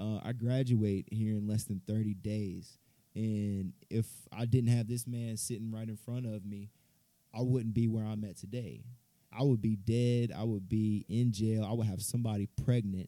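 A man speaks at a moderate pace in a fairly low pitch. His tone is dark and mellow, his intonation monotone and flat. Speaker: podcast host. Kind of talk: scripted narration; casual chat.

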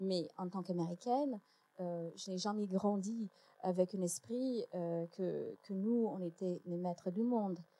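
In an English accent, a woman speaks at a medium pitch and a fairly slow pace, with a dark, mellow tone, ordinary pitch variation, and a dry, close sound with no echo. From United States. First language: English (speaking French). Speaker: historian and lecturer. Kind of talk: panel debate. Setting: stage with audience.

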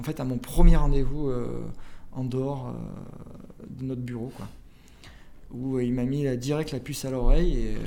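Amid noticeable background noise and audible room echo, a man speaks at a medium pitch in a flat monotone, his loudness swinging widely between long, frequent pauses. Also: fairly slow pace. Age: 30s. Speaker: startup founder and CEO. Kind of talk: interview. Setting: in person in Montpellier. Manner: halting, many fillers and repetitions.

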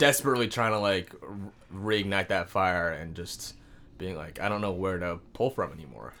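With a West Coast accent, a man talks in a very deep, low pitch and lively intonation on a very clean recording with a silent background. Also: moderate pace. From Washington State, Seattle suburbs. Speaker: comedian. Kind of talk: casual chat.

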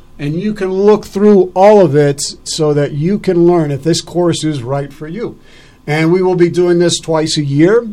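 This is an unremarkable speaking voice with ordinary pitch variation, moving at a fairly slow pace. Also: man. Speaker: radio talk show host. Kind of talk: live radio interview, casual chat. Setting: radio studio, live broadcast.

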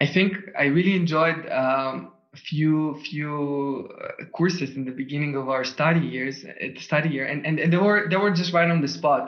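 A man's fairly high voice comes through with audible room echo and noticeable background noise. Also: ordinary pitch variation, moderate pace. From Israel. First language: Russian and Hebrew. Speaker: ecommerce founder. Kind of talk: interview.

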